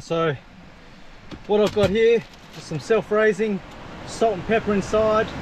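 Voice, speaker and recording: High-pitched male voice at a moderate pace, dry with no echo, against noticeable background noise. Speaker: fishing vlogger. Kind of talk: casual vlog chat. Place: beach. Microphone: phone near.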